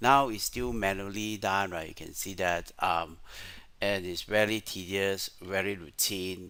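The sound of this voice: A man's low voice, bright and sharp in tone, at a fairly slow pace with ordinary pitch variation.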